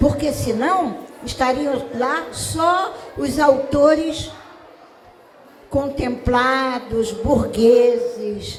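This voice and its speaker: A woman talks with ordinary pitch variation over noticeable background noise and audible room echo. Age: 70s. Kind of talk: panel talk.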